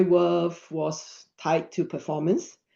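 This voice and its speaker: A woman with a non-native accent speaks at a fairly low pitch in a dark, mellow tone. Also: quiet background. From Singapore. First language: not English. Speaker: mental health app co-founder. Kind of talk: webinar talk.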